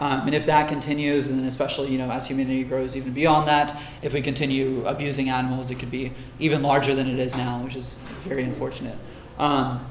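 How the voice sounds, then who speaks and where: Against light background noise and audible room echo, a man speaks very fast in a flat monotone. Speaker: conference speaker. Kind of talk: lecture. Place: classroom.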